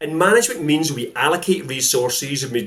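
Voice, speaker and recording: Speaking with a Scottish accent, a man uses a fairly high pitch and a fairly quick pace. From Scotland. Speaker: sales coach. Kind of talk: interview.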